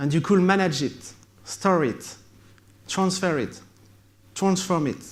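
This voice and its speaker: A man with a French accent at a fairly slow pace, ordinary pitch variation, and audible room echo. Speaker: tech company founder. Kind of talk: conference keynote. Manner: halting.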